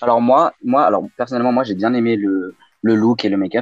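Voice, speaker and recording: Very fast and medium-pitched, a man speaks with ordinary pitch variation, and the sound is dry and close with no echo. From Lyon, France (raised partly abroad, incl. China). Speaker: drag queen. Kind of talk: casual chat.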